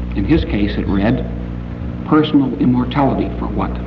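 At a moderate pace, a man speaks with a very deep, low voice and very wide pitch swings. There is noticeable background noise. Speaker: science fiction author and critic, convention guest of honor. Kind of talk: formal convention speech, literary criticism lecture. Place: hall. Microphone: old recording.

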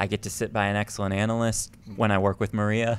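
A man's monotone, flat intonation over light background noise. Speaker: poker commentator and player. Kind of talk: casual interview conversation. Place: studio. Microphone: studio mic.

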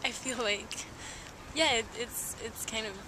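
A woman speaks over noticeable background noise. Her voice carries audible room echo. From France. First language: French. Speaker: adult film performer and activist. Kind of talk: interview. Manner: hesitant with fillers.

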